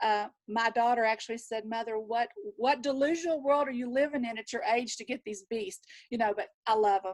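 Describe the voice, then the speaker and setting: The woman's voice sits fairly high, with ordinary pitch variation. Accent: Southern US. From Texas. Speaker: nurse and wellness practitioner. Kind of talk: panel introduction. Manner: animated.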